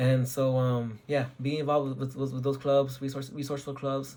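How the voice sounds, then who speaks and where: Fairly high for a man, this voice carries a somewhat breathy quality. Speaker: engineering student. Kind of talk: advice talk. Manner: fast; halting, many repeats.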